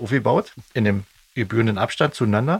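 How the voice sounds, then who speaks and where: The man's voice is somewhat breathy. Everything sounds dry and close, with no echo. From East Germany. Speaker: band member and podcast host. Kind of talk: casual chat.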